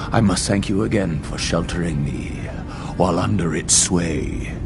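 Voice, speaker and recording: A man puts on a character voice with a very deep, low pitch. Loud background noise runs behind him. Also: moderate pace. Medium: machinima. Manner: formal, measured.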